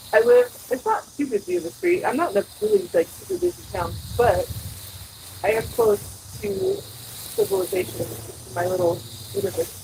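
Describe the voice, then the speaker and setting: A woman at a moderate pace with long, frequent pauses, over noticeable background noise. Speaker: gardening vlogger. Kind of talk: casual vlog talk while gardening. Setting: outdoors in a suburban garden. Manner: loud. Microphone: microphone far away on the trellis.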